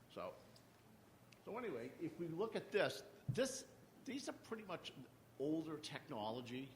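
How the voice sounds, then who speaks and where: Amid audible room echo, a man with a high voice makes very wide pitch swings and leaves long, frequent pauses. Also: moderate pace. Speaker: utility industry panelist. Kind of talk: conference panel presentation. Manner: halting, many fillers and repeats.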